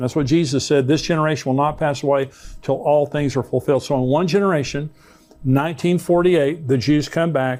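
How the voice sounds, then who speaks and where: In a normal speaking voice, a man talks at a fairly quick pace with fairly high pitch, fairly even intonation and very even loudness. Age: 60s. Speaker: pastor. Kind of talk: Bible prophecy teaching.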